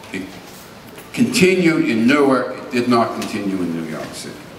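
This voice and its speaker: Very wide pitch swings mark a man speaking at a moderate pace amid noticeable background noise and audible room echo. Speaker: epidemiologist; speaker. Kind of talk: lecture. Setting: stage with audience. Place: hall.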